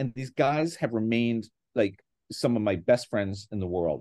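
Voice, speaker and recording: In a normal speaking voice, a man speaks at a fairly slow pace with medium pitch and an American accent. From northeastern Pennsylvania (Scranton). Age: 60s. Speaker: guitarist and classics professor. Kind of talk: casual interview chat. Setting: video call.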